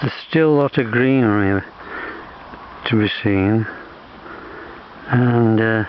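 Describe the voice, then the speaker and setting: Against noticeable background noise, a man talks at a very slow pace with fairly even intonation. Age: 80s+. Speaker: nature vlogger. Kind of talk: casual walking vlog narration. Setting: outdoors. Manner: halting.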